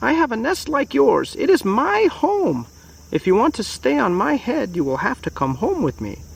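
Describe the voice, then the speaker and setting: At a moderate pace, a man talks in a high-pitched, put-on character voice. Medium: read story.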